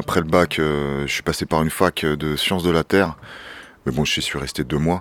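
Dry and close with no echo, a man's very deep, low voice holds a monotone, flat intonation at a moderate pace. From France, Seine-Saint-Denis (Paris suburbs). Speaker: urban shepherd, association founder. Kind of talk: casual interview, guided tour. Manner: casual, hesitant with fillers.

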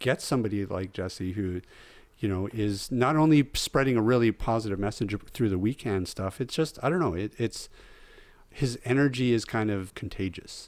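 A man's normal speaking voice with a Canadian accent, medium pitch, lively intonation and moderate pace, on a very clean recording with a silent background. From British Columbia, Canada. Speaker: podcast host. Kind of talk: casual chat.

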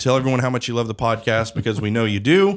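The recording is very clean with a silent background. A man speaks at a medium pitch with ordinary pitch variation in an ordinary speaking voice. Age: 30s. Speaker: podcast host and news CEO. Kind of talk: interview podcast host; promotional announcement. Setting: studio.

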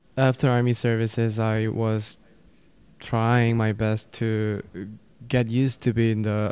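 Slow-paced, medium-pitched male voice in a monotone, flat delivery on a very clean recording with a silent background. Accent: Korean. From South Korea. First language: Korean. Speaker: graduate student and military veteran. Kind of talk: interview. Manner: hesitant, with fillers.

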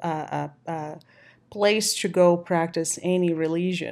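A woman talks with a fairly low pitch and monotone, flat intonation. The recording is very clean against a silent background. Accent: Portuguese. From Brazil. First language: Portuguese. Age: 30s. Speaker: personal trainer and coach. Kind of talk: casual chat. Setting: home recording. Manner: halting, with many fillers.

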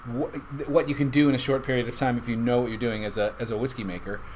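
A man's voice over noticeable background noise. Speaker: whiskey podcast host. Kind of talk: casual chat.

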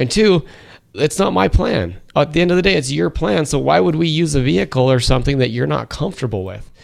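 On a very clean recording with a silent background, a man speaks at a fairly quick pace and medium pitch, with vocal fry and very wide pitch swings. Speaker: financial advisor. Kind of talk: casual chat.

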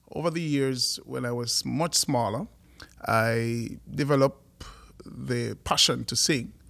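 With a Jamaican accent, a man talks at a very slow pace. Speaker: worship leader and music producer. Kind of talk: podcast interview.

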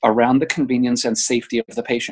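A man speaks at a fairly quick pace in a plain, everyday voice, medium in pitch with ordinary pitch variation, over a quiet background. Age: 50s. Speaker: healthcare PR executive. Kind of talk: interview.

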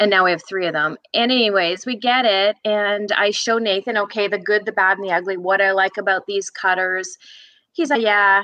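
Her voice is a plain, everyday voice, a woman's at medium pitch, moving at a moderate pace with fairly even intonation. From northern British Columbia, Canada. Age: 50s. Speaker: cookie baker. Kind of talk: interview.

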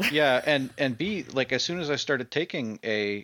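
A normal speaking voice moves at a moderate pace, its intonation lively. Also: man. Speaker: engineer, host's brother. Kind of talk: casual interview chat.

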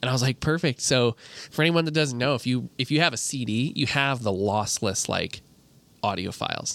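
On a very clean recording with a silent background, a man with a plain, everyday voice and an American accent talks at a fairly quick pace, medium pitch and ordinary pitch variation. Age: 20s. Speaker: video producer. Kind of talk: casual chat.

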